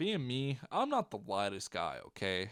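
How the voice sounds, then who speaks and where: An animated man with a Southern US accent, medium pitch and a moderate pace, on a very clean recording against a silent background. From US South. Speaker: YouTuber. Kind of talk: storytelling. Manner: casual.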